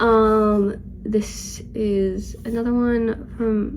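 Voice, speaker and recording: Audible room echo surrounds a woman with a fairly high pitch. Her intonation is monotone and flat. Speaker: book vlogger. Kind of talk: casual chat. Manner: casual, filler-heavy.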